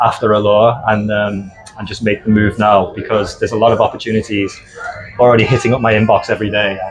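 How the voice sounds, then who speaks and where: A man speaks very fast in a Liverpool accent, his intonation monotone and flat. Music plays in the background. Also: fairly low pitch for a man. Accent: full British (Liverpool). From northern England, Liverpool. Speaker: cruise ship casino host and vlogger. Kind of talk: casual interview chat.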